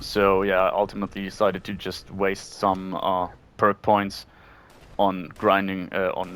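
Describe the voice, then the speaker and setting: A man speaks with a non-native accent at a moderate pace. His pitch is fairly low. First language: not English. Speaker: gaming YouTuber. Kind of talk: gameplay commentary. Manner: hesitant, many fillers.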